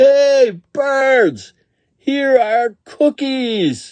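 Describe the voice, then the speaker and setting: Loud and shouting, this is a put-on character voice. The pitch is high. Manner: loud shout.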